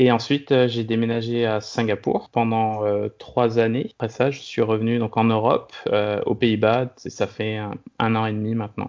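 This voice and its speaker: A man speaks at a medium pitch and a fairly slow pace. His intonation is flat and monotone, with hardly any pauses. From France, Brittany (Brest). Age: 30s. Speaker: serial expat, food industry worker. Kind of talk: interview, casual chat. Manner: halting, many fillers and repetitions.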